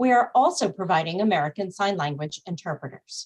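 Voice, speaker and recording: A somewhat breathy woman talks at a moderate pace with very wide pitch swings. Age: middle-aged. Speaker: nonprofit executive, event opener. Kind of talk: webinar welcome and housekeeping. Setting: Zoom webinar. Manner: formal.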